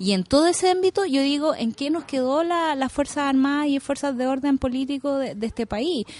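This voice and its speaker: This woman has a high pitch, and her voice is recorded with a dry, close sound with no echo. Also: ordinary pitch variation, moderate pace, hardly any pauses. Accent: Chilean. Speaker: radio news panelist. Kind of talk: radio panel discussion.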